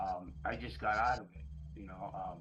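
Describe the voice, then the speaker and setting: The voice carries vocal fry. Room echo is audible. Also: man. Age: 60s. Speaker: defendant. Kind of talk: court hearing. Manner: halting.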